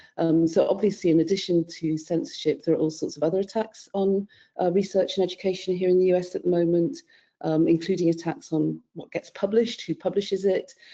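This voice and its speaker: Speaking at a fairly quick pace in a British accent, a woman has a medium pitch, a dark, mellow tone and ordinary pitch variation. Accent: British accent, noticeable in the US. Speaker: panellist, scholarly publishing consultant. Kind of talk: webinar panel discussion.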